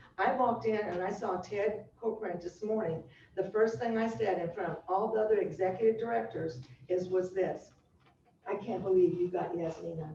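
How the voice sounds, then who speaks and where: There is noticeable background noise and audible room echo as a woman at a medium pitch talks at a moderate pace. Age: 70s. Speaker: culture strategist and consultant, former high school teacher. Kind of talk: speech at business meeting. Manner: animated.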